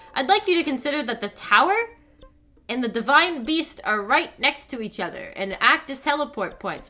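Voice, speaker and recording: Music plays in the background as a woman speaks in a raised, projected voice. Her high voice makes very wide pitch swings. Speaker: streamer. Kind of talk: casual chat. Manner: animated; fast.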